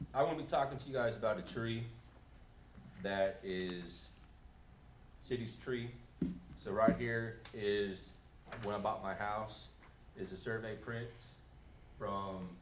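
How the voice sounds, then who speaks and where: With audible room echo, a man speaks at a fairly slow pace and medium pitch, with ordinary pitch variation and long, frequent pauses. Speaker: resident speaking at public comment. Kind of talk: public comment at council meeting. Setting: city council chambers. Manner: loud without microphone.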